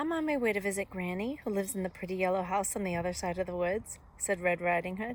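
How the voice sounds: The delivery is a natural reading voice. Pitch moves up and down in an ordinary way.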